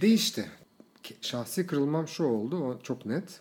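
A man with very wide pitch swings. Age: 30s. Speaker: influencer manager and blogger. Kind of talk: casual interview chat.

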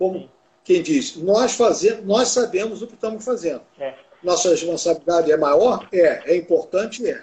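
This man speaks with a high pitch at a moderate pace. His pitch varies in an ordinary way. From Rio de Janeiro, Brazil. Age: 70s. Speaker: classic car federation technical director. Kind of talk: casual interview.

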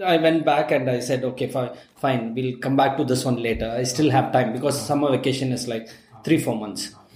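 A man talks with noticeable background noise. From Tamil Nadu, India (Ooty area). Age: 40s. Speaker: podcast host and digital marketing teacher. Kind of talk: casual chat.

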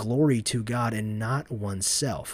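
A somewhat breathy man at medium pitch, with ordinary pitch variation, on a very clean recording with a silent background. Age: 20s. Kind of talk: reading aloud. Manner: halting.

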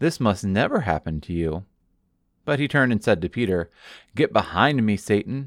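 This man's fairly low voice has a warm tone and very wide pitch swings at a moderate pace, recorded very cleanly against a silent background with a dry, close sound and no echo. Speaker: pastor. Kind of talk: sermon excerpt, guided prayer; fervent prayer, earnest and devotional. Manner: warm, pastoral.

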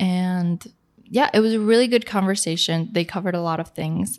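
An unremarkable speaking voice from a woman at medium pitch, ordinary pitch variation, very clean recording with a silent background. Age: 20s. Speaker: podcast co-host. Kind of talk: casual chat.

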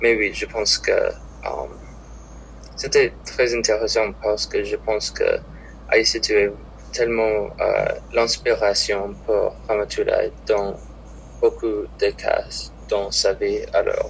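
A man with an English accent, speaking very slowly, with long and frequent pauses. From Minnesota. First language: English (speaking French). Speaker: college student. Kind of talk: casual interview. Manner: halting.

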